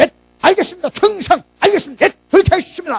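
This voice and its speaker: Putting on a character voice, a man talks at an extremely high pitch and a very fast pace. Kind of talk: military, formal. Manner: crisp, clipped, deferential.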